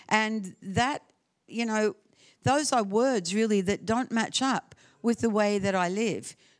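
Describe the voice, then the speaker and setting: Recorded very cleanly against a silent background, a woman with an Australian accent sounds dry and close, with no echo. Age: 70s. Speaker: guest preacher. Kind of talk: sermon. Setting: church with audience.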